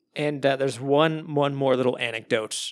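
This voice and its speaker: A man with an American accent talks at a fairly quick pace in an unremarkable speaking voice, on a very clean recording with a silent background. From Arizona. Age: 30s. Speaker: podcast host. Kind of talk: casual chat.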